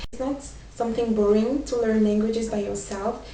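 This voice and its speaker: A woman with a fairly high voice speaks with a French accent and fairly even intonation. There is noticeable background noise and audible room echo. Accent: French accent, self-described as imperfect. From France. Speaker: vlogger, language learner. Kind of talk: casual vlog talk with tips. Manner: hesitant, many fillers.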